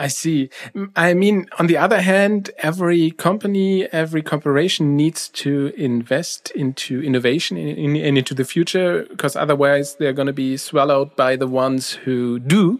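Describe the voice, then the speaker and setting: This man has a German accent and a fairly high pitch. He keeps a moderate pace with hardly any pauses and ordinary pitch variation. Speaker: podcast host. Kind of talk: interview.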